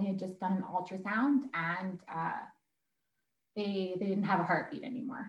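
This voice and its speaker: Somewhat breathy and medium in pitch, a woman talks with a Canadian prairie accent and ordinary pitch variation. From Alberta, Canada (Sherwood Park). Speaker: mother sharing birth story. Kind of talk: interview, personal story.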